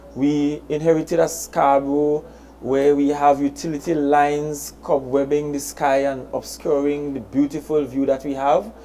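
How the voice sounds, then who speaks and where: A moderate pace in a Trinidadian accent. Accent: Trinidad and Tobago English. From Tobago. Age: 30s. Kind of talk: public address.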